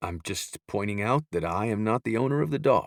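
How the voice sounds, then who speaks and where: A man growls through a put-on character voice, fairly low in pitch at a moderate pace. His intonation is lively, and the recording is very clean with a silent background. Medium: read story. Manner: polite, easygoing.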